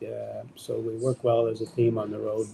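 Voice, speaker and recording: At a fairly slow pace, a man speaks in a medium pitch, somewhat breathy, with a dark, mellow tone. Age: 80s+. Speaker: long-distance cyclist. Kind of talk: interview. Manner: halting.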